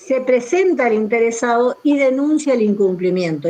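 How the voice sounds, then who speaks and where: With noticeable background noise behind her, a woman speaks with very wide pitch swings. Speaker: law professor. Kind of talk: online lecture.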